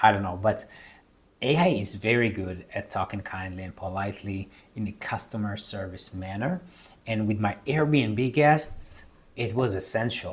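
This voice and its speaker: Speaking with a non-native accent, a man sounds somewhat breathy at a fairly low pitch. His pace is moderate, his pitch variation ordinary, and the recording very clean with a silent background. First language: not English. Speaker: real estate investor and video creator. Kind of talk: casual tutorial talk to camera.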